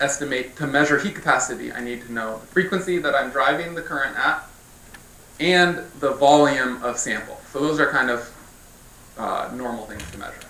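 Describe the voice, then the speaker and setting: A man with a fairly high pitch speaks with ordinary pitch variation, big swings in loudness and long, frequent pauses, amid audible room echo. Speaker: physics researcher. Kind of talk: scientific lecture. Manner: fast. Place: hall.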